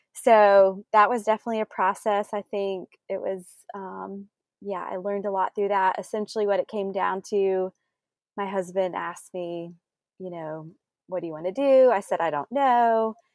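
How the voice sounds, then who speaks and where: In a Southern US accent, a woman speaks at medium pitch with ordinary pitch variation. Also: moderate pace, dry, close sound with no echo. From South Carolina. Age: 30s. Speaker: small business owner. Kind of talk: interview.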